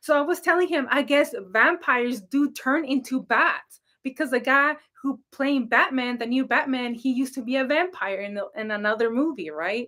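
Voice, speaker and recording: In a raised, projected voice, a woman speaks high in pitch with a bright, sharp tone. She sounds animated at a moderate pace. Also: lively intonation. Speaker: psychic reader and spiritual coach. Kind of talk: casual livestream chat. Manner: loud.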